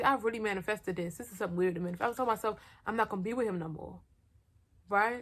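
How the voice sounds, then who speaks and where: A woman with an animated tone and lively intonation on a very clean recording with a silent background. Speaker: storytime vlogger. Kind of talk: personal storytelling. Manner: loud.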